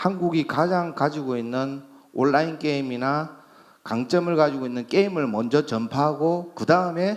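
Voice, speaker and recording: A man with a Busan accent, fairly high pitch, lively intonation, and moderate pace, on a very clean recording with a silent background. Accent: Busan dialect (Gyeongsang). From South Korea, Busan. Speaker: company CEO, medical tourism agency. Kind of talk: conference presentation. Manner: hesitant, many fillers.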